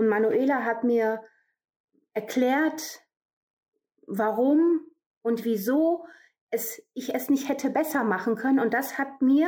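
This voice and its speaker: A high-pitched woman at a very slow pace with lively intonation. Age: 40s. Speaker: coaching client giving testimonial. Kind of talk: testimony. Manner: halting, many fillers.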